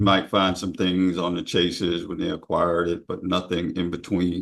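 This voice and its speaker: A man with an American accent has a very deep, low pitch. He talks at a moderate pace in a monotone, flat way. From US South. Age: 50s. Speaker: longtime local resident. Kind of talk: oral history interview.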